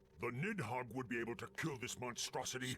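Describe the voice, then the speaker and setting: Over clear background noise, a man puts on a character voice at medium pitch, speaking at a fairly quick pace. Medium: video game. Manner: commanding, proud.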